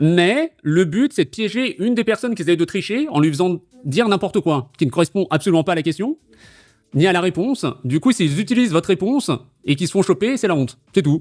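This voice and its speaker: The voice is loud, with very wide pitch swings. It sounds dry and close with no echo, with music in the background. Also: man. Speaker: quiz host and streamer. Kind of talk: casual quiz-show chat explaining rules. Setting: live stream on Discord call. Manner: animated, with fillers.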